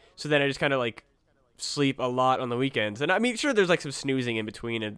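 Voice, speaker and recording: A man speaks very fast in a medium pitch with a bright, sharp tone. The recording is very clean, with a silent background. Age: 20s. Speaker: comedy podcast co-host. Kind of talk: casual chat. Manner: halting, many fillers.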